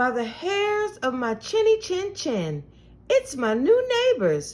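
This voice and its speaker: Putting on a character voice, a woman speaks at an extremely high pitch and a fairly slow pace, with very wide pitch swings. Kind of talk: bedtime story. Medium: read story. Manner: friendly, folksy.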